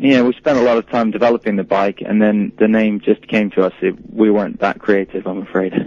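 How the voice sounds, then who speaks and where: A man talks at a fairly quick pace with hardly any pauses and fairly even intonation, his sound dry and close with no echo. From England. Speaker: company spokesperson. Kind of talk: interview. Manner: hesitant, many um fillers.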